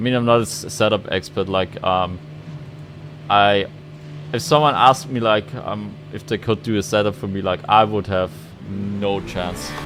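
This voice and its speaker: A man with a non-native accent speaks at a moderate pace in a fairly low pitch, his intonation lively. Long, frequent pauses break up his speech, and there is noticeable background noise. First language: not English. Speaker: sim racing YouTuber. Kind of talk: gameplay commentary. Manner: halting.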